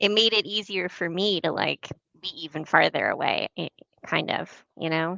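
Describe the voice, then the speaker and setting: A woman with a northern US accent talks at a moderate pace in a fairly low voice, with ordinary pitch variation. Vocal fry runs through her speech. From Michigan. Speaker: podcast guest, host's niece. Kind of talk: casual chat. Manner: halting.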